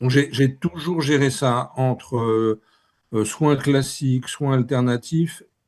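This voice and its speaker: A man with fairly high pitch talks at a very slow pace with fairly even intonation. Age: 60s. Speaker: author. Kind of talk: interview. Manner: halting, many repetitions.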